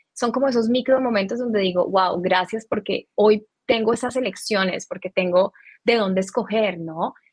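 At a moderate pace, a woman with an ordinary speaking voice talks at a fairly high pitch with ordinary pitch variation. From Colombia. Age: 30s. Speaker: spiritual teacher. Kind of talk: interview.

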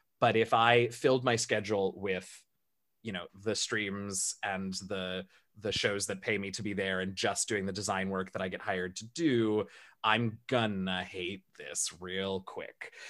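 With a plain, everyday voice, a man speaks fairly slowly at a fairly low pitch and with fairly even intonation on a very clean recording with a silent background. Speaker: streamer and Dungeons and Dragons player. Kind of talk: casual interview chat.

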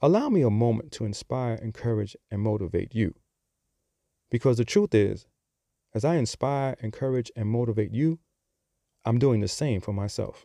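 A man with a New York accent and a dark, mellow tone, medium pitch and ordinary pitch variation, at a moderate pace with long, frequent pauses, in a dry, close, echo-free, very clean recording with a silent background. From Bronx, New York. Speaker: podcast host. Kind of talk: scripted-style podcast monologue.

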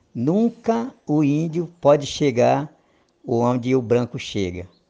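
Man with a dark, mellow tone and lively intonation. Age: 50s. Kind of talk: interview. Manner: halting.

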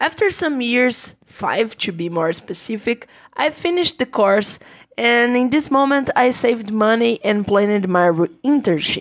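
In a Portuguese accent, a woman with a fairly high voice swings her pitch very widely. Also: fairly slow pace. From Brazil. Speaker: English teacher. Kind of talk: personal monologue.

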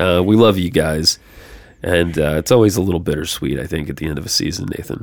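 A man speaks at a very fast pace with a very deep, low pitch and vocal fry. His pitch varies in an ordinary way. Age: 30s. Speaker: podcast host. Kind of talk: casual chat.

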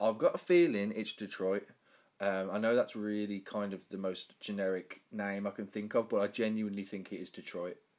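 A man's fairly even intonation in a Birmingham accent. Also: fairly low pitch for a man, moderate pace. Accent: Birmingham English, fairly strong. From Birmingham, England. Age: 20s. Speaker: podcast host. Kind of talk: casual interview. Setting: video call.

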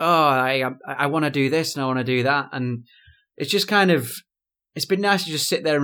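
Bright and sharp in tone, a man with a British accent speaks in a fairly high pitch. His pace is fairly quick and his intonation lively. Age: 20s. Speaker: musician, DJ and stand-up comedian. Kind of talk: casual chat.

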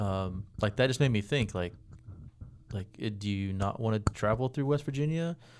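A man talks at a moderate pace in an American accent, with a normal speaking voice. His pitch is fairly low, with ordinary variation. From Texas (Dallas-Fort Worth area). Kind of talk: casual chat.

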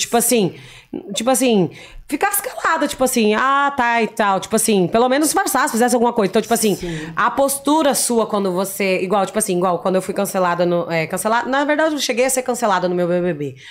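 With lively intonation and a fairly high pitch, a woman speaks at a very fast pace against noticeable background noise. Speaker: influencer, former reality show contestant. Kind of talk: casual chat. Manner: spontaneous.

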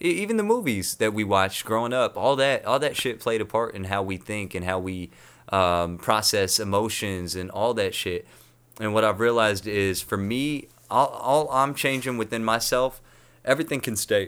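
A man with an American accent has an unremarkable speaking voice. The recording is very clean, with a silent background. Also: medium pitch for a man, ordinary pitch variation, moderate pace. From North County, Southern California. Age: 20s. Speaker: musician. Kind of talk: casual interview.

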